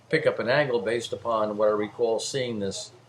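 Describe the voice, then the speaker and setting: Someone with a New Jersey accent speaks at a fairly quick pace over noticeable background noise. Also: man. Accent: New Jersey American. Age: 60s. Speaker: amateur sky observer recounting sighting. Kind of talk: casual monologue video. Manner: halting, many fillers.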